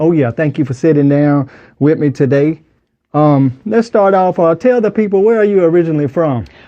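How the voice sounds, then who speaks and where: With a Southern US accent, a man speaks at a moderate pace and a fairly high pitch. His intonation is lively, and his loudness stays very even. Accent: Southern US (Georgia). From US South, Wilkes County, Georgia. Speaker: podcast host. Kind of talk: interview.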